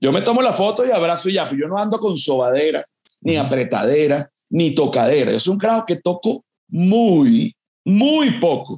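A man with a Venezuelan accent, high in pitch with very wide pitch swings and a dark, mellow tone, at a moderate pace. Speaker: comedian. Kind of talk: casual chat.

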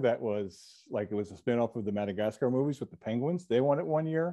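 Against a quiet background, a man with an unremarkable speaking voice and an American accent talks at a moderate pace with ordinary pitch variation. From New Jersey. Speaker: TV comedy writer and producer. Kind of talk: interview.

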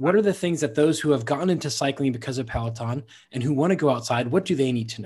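With an ordinary speaking voice, a man talks at a fairly quick pace with lively intonation and fairly high pitch against a quiet background.

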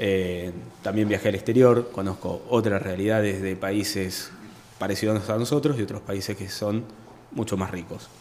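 A man with a plain, everyday voice, fairly low pitch, fairly even intonation and a moderate pace. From Argentina, Buenos Aires province (Chacabuco). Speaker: architect, urban planner. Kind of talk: radio interview. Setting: radio studio.

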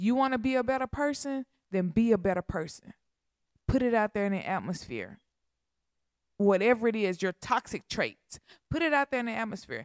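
A woman's fairly high-pitched, animated voice with lively intonation, fairly quick pace, and long, frequent pauses, dry and close with no echo on a very clean recording with a silent background. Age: 30s. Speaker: podcast host. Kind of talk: casual chat.

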